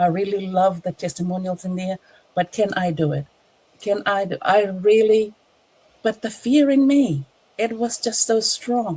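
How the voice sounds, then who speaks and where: Dark and mellow in tone, this somewhat breathy woman's voice sits at a medium pitch and moves at a fairly slow pace with ordinary pitch variation. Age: 60s. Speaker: online business entrepreneur. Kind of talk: testimony. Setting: livestream. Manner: halting.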